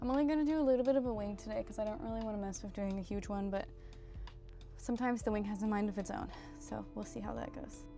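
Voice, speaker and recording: A soft-spoken woman at a very fast pace, fairly high in pitch with ordinary pitch variation, over music in the background. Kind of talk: casual makeup tutorial talk to camera.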